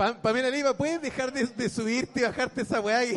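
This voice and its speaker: A man's extremely high voice in a Chilean accent, at a moderate pace, amid noticeable background noise. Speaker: comedian and podcast co-host. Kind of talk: live comedy podcast chat. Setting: stage with live audience.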